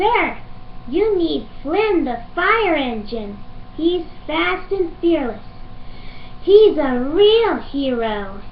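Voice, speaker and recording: A put-on character voice, female-sounding and extremely high in pitch, at a very slow pace with long, frequent pauses and clear background noise. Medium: fan dub. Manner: warm, enthusiastic.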